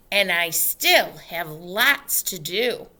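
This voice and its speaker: A woman puts on a character voice. It sounds raspy. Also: medium pitch for a woman. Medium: read story.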